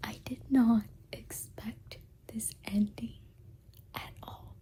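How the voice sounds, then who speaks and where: A woman whispers. She speaks at a very slow pace. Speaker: booktuber. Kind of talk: casual vlog talk. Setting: in bed at night. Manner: animated; quiet, late at night.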